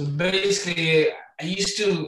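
A man talks with a Manchester accent. His intonation is fairly even. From northern England. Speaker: rapper. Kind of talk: casual chat.

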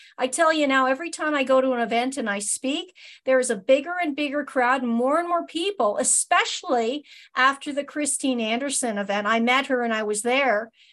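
Talking at a fairly quick pace, a woman with a high pitch shows ordinary pitch variation. The recording is very clean, with a silent background. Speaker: podcast host. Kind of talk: casual interview.

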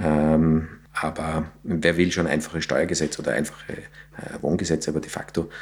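Against noticeable background noise, a man talks at a moderate pace in a very deep, low, flat monotone. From Austria, south of Vienna. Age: 40s. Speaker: real estate executive. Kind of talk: podcast interview. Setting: studio.

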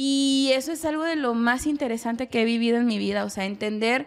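A woman with a high pitch speaks at a moderate pace and fairly even intonation, on a very clean recording with a silent background. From Mexico. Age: 20s. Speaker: psychologist. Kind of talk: casual chat. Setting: home kitchen.

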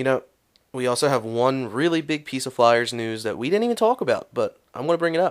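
In an American accent, a plain, everyday voice moves at a fairly quick pace with lively intonation. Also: man, medium pitch for a man. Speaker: sports podcast host. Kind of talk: casual sports chat.

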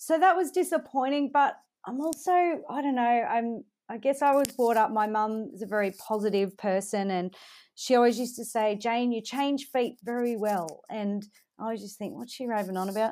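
Lively intonation and a moderate pace mark this speaker with an Australian accent, heard on a very clean recording with a silent background. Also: woman, fairly high pitch for a woman. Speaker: country music singer. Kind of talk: interview.

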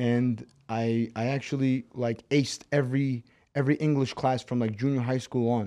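The voice has a Brooklyn accent and a dark, mellow tone, moving at a moderate pace with monotone, flat intonation over a quiet background. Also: man, medium pitch for a man. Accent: Brooklyn New York. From Moscow, Russia, raised in Brooklyn, New York. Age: 20s. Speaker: MMA fighter. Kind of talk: casual interview.

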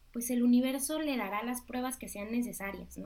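The voice carries fairly even intonation amid audible room echo. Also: woman. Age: 30s. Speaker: life coach. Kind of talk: interview.

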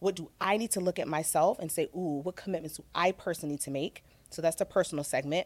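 A woman's fairly low voice with an American accent, very fast and with ordinary pitch variation, dry and close with no echo on a very clean recording with a silent background. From Virginia. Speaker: corporate equity and inclusion executive. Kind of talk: interview.

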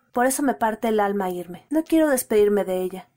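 Woman with a Mexican accent, dark, mellow tone and lively intonation. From Mexico City. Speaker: listener reading her own story. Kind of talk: reading aloud.

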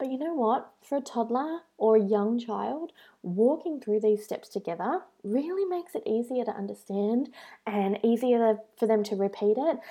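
A woman with an Australian accent talks at a moderate pace. Her pitch is fairly high and her intonation lively. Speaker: blogger. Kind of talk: tutorial.

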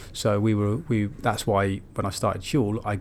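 A man talks in an ordinary speaking voice. His pitch sits fairly low and his intonation stays fairly even. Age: 40s. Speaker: entrepreneur, company founder. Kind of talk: interview conversation. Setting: office studio.

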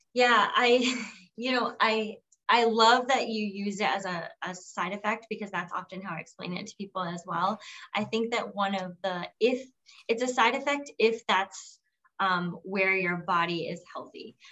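This woman has an ordinary speaking voice at a medium pitch, talking at a moderate pace with ordinary pitch variation. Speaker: podcast host and entrepreneur. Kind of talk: casual interview chat.

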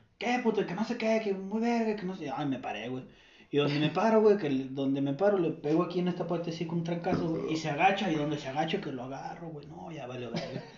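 Talking at a very fast pace, a man with a high pitch and lively intonation comes through noticeable background noise and audible room echo. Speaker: podcast co-host. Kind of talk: casual chat.

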